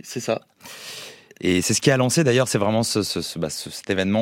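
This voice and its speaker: With lively intonation, this man speaks fairly quickly. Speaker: music agency co-founder.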